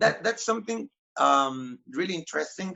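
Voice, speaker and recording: The pace sits at a moderate level. A Spanish accent comes through. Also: man. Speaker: magician interviewer. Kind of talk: interview.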